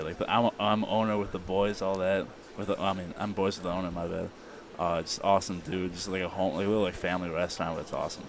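In an American accent, a man with a very deep, low pitch talks at a very fast pace. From Illinois, US Midwest. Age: young. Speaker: college football player. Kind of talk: interview. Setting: media day event. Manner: animated.

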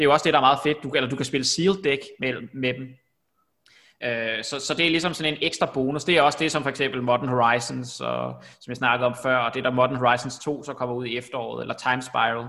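A man talks very fast in a bright, sharp tone with vocal fry. His intonation stays fairly even. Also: medium pitch for a man, very clean recording, silent background. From Denmark, Copenhagen. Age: 30s. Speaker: podcast host. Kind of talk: casual chat. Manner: halting, many fillers.

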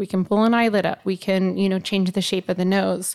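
In a plain, everyday voice, a woman speaks at a medium pitch and moderate pace with fairly even intonation, recorded very cleanly against a silent background. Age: 40s. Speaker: aesthetics injector. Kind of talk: casual chat.

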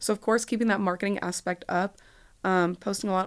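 A woman with an American accent has a normal speaking voice and ordinary pitch variation. The recording is very clean, with a silent background. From Texas, Dallas. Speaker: student leader, sorority president. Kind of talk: interview. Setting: studio.

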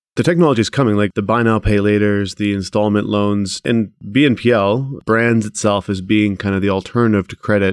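An unremarkable speaking voice moves at a fairly quick pace with hardly any pauses and fairly even intonation, in a very clean recording with a silent background and a dry, close sound with no echo. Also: man, fairly low pitch for a man. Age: 30s. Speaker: podcast host and entrepreneur. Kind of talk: interview; scripted introduction.

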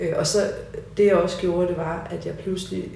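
Room echo and clear background noise around a woman's voice. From Copenhagen, Denmark (Nørrebro). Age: 40s. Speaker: painter and high school teacher. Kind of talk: interview conversation. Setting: at home in living room.

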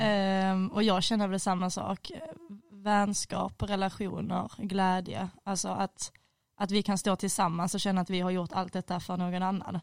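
The woman's pitch is medium. She delivers everything in a monotone, flat way. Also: moderate pace. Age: 20s. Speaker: student. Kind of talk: casual chat. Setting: studio.

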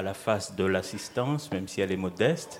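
A man's fairly low voice, a normal speaking voice with ordinary pitch variation. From Mayotte. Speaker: writer and playwright. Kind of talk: live radio panel discussion. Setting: live public broadcast at tables.

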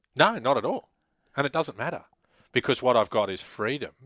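A man speaks with an Australian accent, his tone bright and sharp with ordinary pitch variation. The sound is dry and close with no echo, over a quiet background. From Queensland, Australia (Laidley). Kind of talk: casual interview.

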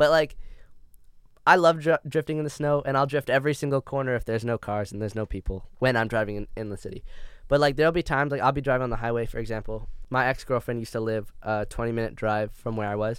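In a very clean recording with a silent background, a man at medium pitch talks at a very fast pace with ordinary pitch variation. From Canada. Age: 20s. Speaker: podcast co-host. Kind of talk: casual chat.

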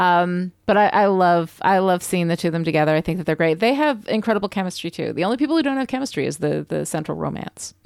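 A woman's very fast, lively speech at a fairly low pitch, with hardly any pauses, in a very clean recording with a silent background. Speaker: podcast co-host, story expert. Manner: sounds sarcastic even when sincere.

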